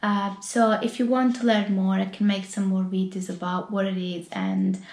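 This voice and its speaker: In an Italian accent, a woman speaks at a moderate pace with a medium pitch. Audible room echo surrounds her voice. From Italy. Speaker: YouTuber and UX designer. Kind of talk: casual vlog talk to camera. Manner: hesitant, many fillers.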